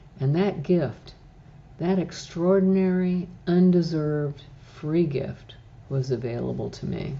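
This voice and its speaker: A woman with a very deep, low pitch and a somewhat breathy voice, at a very slow pace with ordinary pitch variation. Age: 70s. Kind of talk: personal faith testimony.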